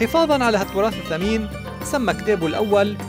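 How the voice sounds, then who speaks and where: A Lebanese accent over music in the background. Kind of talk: documentary biography narration.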